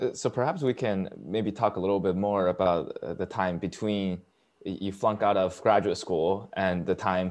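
A man speaks at a moderate pace in a normal speaking voice. The background is quiet. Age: 20s. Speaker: student podcast host. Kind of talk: interview. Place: home room. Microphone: lapel.

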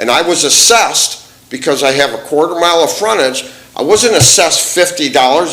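Lively intonation is heard through audible room echo and noticeable background noise. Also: man. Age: 60s. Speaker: resident speaking at public comment. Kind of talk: public hearing comment, heated exchange. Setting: township board meeting. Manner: animated, interrupting.

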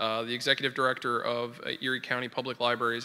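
A man speaks at a very fast pace. His tone is bright and sharp. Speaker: host introducing the program. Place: hall. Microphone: podium.

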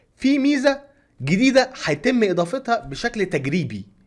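A man with a high-pitched voice and an Egyptian accent speaks against a quiet background. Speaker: YouTube content creator. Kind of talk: tutorial. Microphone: studio mic.

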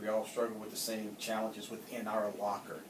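A man talks amid light background noise and audible room echo. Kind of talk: interview answer. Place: office. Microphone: camera far.

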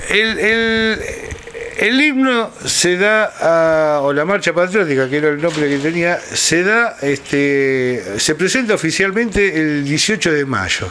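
A man's high voice with lively intonation at a very slow pace, over light background noise. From Buenos Aires province, Argentina. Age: 60s. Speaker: historian. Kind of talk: interview. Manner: halting. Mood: calm, explanatory. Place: home room.

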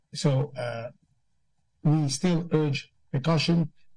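The tone is dark and mellow, somewhat breathy. Intonation stays fairly even. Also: man. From Philippines. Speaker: government undersecretary. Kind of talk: press briefing. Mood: calm, measured, official. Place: office. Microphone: video call.

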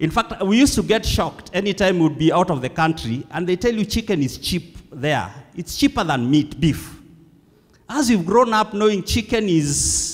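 The man's intonation is lively as he goes at a moderate pace. All around him is quiet. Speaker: preacher. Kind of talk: sermon. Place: church. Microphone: handheld.

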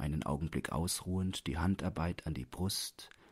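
A man with an extremely low pitch, ordinary pitch variation and a moderate pace, on a very clean recording with a silent background

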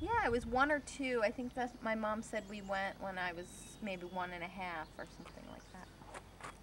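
With an American accent, a woman speaks at a moderate pace and a fairly high pitch, her ordinary pitch variation paired with big swings in loudness over noticeable background noise. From Pennsylvania, Delaware County (Media, Springfield); Pennsylvania. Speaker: filmmaker; interviewee. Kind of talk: interview. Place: garden. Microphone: camera far.

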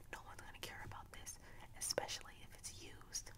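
Whispering at a moderate pace, a soft-spoken woman talks. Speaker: vlogger. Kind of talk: casual vlog chat, opinion talk. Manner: soft close-mic whisper. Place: home room. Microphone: studio mic.

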